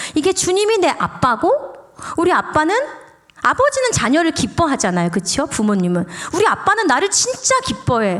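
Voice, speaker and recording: A woman speaks in a high voice with very wide swings in pitch and very even loudness over noticeable background noise. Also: moderate pace. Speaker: pastor's wife, guest preacher. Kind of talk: sermon. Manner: animated; casual.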